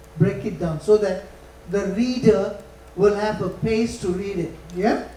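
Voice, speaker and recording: Audible room echo and noticeable background noise surround the recording. A man with a high pitch talks at a fairly slow pace. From Malaysia, grew up on an estate. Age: 70s. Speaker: corporate communications consultant, guest lecturer. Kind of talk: lecture.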